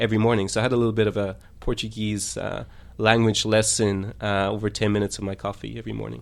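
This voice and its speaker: A man's fairly low voice, monotone and flat, at a very fast pace. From Ireland. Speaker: lawyer and polyglot traveller. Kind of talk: radio interview. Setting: radio studio. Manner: clear, careful enunciation; hesitant, many fillers.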